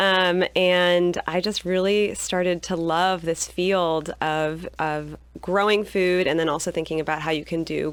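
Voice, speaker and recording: Barely pausing, a woman with an American accent speaks in a fairly low pitch with fairly even intonation. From California. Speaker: agroecology professor. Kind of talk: radio interview. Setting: radio studio.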